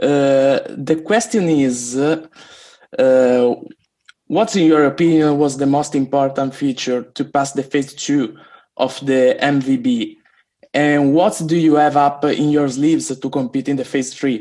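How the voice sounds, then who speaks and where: Speaking at a fairly slow pace, a man with an Italian accent has a fairly high pitch, ordinary pitch variation and a dark, mellow tone. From Italy. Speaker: community member. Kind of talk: question at community meeting. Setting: video call. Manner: halting.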